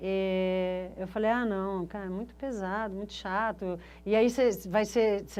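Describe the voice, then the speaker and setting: A woman's medium-pitched voice comes over a quiet background. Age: 60s. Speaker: photographer, university alumna. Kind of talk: interview testimony, reminiscing. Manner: casual, hesitant with fillers.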